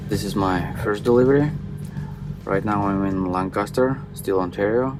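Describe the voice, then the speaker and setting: Music plays behind a man speaking with a Kazakh accent. His pitch is fairly low and his pace fairly slow. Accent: Kazakh Russian-accented English. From Kazakhstan. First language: Russian. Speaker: truck driver. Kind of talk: casual vlog talk to camera.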